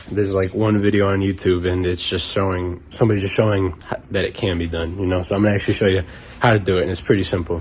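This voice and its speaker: Noticeable background noise sits behind a man with a very deep, low pitch. He talks at a very fast pace in a monotone, flat intonation. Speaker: car hobbyist. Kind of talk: casual how-to tutorial. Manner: casual, relaxed.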